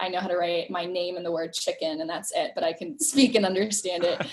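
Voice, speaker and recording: A woman talks in an American accent. Background noise is noticeable. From Thailand and US Midwest. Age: young. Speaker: nonprofit co-founder. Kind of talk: interview.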